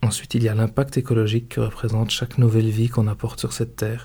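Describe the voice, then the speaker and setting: A man speaks very fast at a medium pitch in a flat monotone, his dark, mellow tone somewhat breathy. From Belgium. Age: 30s. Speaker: podcaster. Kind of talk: scripted narration.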